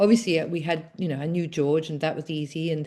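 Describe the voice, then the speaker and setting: A woman with an English accent speaks in a dark, mellow tone against a quiet background. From England. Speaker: author and former addiction counselor. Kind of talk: interview conversation. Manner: hesitant, many fillers.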